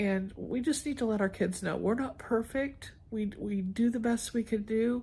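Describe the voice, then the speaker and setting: A woman speaks at a fairly slow pace in a fairly high, somewhat breathy voice with fairly even intonation. The recording is very clean, with a silent background. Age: 70s. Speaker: lifestyle vlogger. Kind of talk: casual vlog monologue. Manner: halting.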